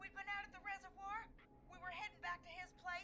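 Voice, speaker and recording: In a put-on character voice at an extremely high pitch, the speaker races along at a very fast pace over clear background noise. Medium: video game. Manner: urgent, trembling.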